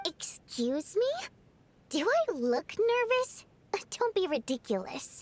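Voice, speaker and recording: In a put-on character voice, a woman uses an extremely high pitch with very wide pitch swings, a fairly slow pace and long, frequent pauses. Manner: indignant.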